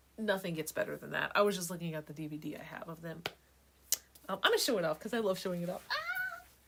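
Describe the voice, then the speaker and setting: The voice is animated and very fast, with big swings in loudness, against noticeable background noise. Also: woman. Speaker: livestream host / music vlogger. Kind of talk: casual chat.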